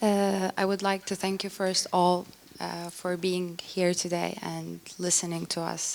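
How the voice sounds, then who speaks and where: At a fairly slow pace, a woman with a fairly low pitch speaks in a monotone, flat intonation. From Turkey. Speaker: grief survivor speaker. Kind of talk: testimony. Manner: halting.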